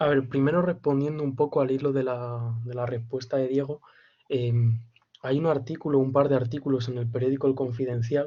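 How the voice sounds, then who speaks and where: A man talks fairly quickly at a medium pitch, somewhat breathy and with monotone, flat intonation. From Spain, Castilla-La Mancha (Campo de Criptana). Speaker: student in a literature seminar. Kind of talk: seminar discussion. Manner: halting.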